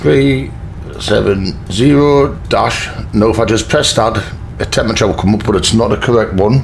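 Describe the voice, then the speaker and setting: A Geordie accent at a moderate pace and very even loudness, with lively intonation, audible room echo and noticeable background noise. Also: man, fairly low pitch for a man. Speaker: flight sim youtuber. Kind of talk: tutorial. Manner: casual.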